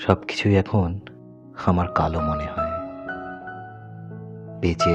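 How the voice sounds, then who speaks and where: A man with a very deep, low pitch over background music. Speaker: poet. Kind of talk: poetry reading.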